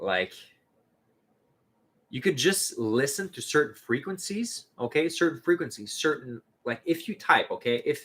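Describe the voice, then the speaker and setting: Someone with a French accent speaks at a fairly slow pace, with long, frequent pauses. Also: man. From Canada. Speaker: spiritual youtuber. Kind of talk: casual livestream chat. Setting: solo livestream. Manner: hesitant, filler-heavy.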